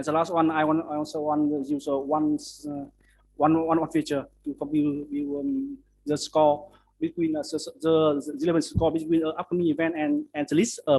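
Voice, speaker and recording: A man's fairly high voice has a dark, mellow tone and a monotone, flat intonation. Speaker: conference paper presenter. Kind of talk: conference presentation and Q&A. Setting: academic conference. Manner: fast; halting, many fillers and repeats.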